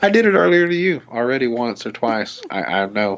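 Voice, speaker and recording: Over noticeable background noise, a man speaks at a moderate pace with a Southern US accent. His pitch swings very widely. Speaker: podcast host. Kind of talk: casual chat. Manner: polished radio delivery.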